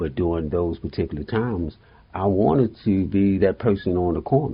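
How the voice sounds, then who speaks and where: A man with an American accent has a very deep, low pitch and a somewhat breathy voice. He talks at a fairly quick pace with ordinary pitch variation. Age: 70s. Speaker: mental health therapist. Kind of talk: interview.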